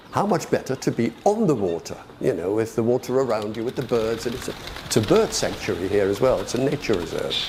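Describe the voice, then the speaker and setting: There's noticeable background noise as a man speaks at a medium pitch and a fairly quick pace. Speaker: club sailor. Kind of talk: documentary interview. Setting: outdoors. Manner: halting.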